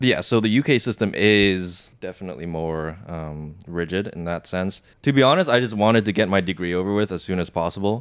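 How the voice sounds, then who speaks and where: Speaking with hardly any pauses, a man uses a very deep, low pitch and ordinary pitch variation in a very clean recording with a silent background. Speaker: entrepreneur. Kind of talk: casual chat.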